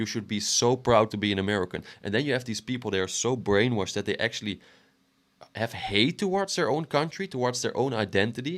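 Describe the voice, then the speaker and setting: Very fast, lively speech from a man at medium pitch, on a very clean recording with a silent background. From Western Europe. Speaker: reaction commentator. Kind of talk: reaction commentary. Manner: halting, repeats words.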